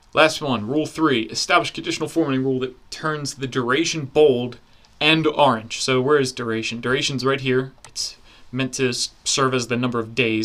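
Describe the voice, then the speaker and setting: A man with an unremarkable speaking voice talks fairly quickly at a medium pitch with fairly even intonation, on a very clean recording with a silent background. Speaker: online course instructor. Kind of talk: software tutorial. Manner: casual.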